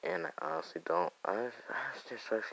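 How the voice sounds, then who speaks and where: A soft-spoken man at a moderate pace, with ordinary pitch variation. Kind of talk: casual gaming commentary. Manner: quiet, soft-spoken; hesitant, stuttering.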